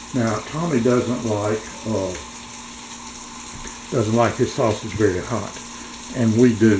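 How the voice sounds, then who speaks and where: This man talks very slowly at a medium pitch. Noticeable background noise is present. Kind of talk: casual vlog. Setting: home kitchen.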